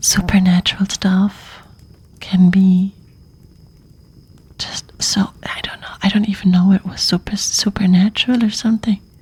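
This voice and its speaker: The speaker talks at a fairly slow pace in a relaxed tone. Noticeable background noise can be heard. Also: long, frequent pauses. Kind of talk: ASMR story reading, casual chatting with viewers. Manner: soft, relaxed, casual.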